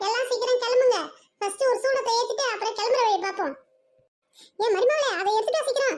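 A cartoonish character voice, fairly quick, with ordinary pitch variation. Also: woman, extremely high pitch for a woman. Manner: loud, bossy.

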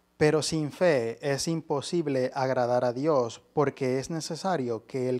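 Over a quiet background, the speaker goes at a very slow pace with ordinary pitch variation. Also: man. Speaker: lay preacher. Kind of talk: sermon. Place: church. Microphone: handheld.

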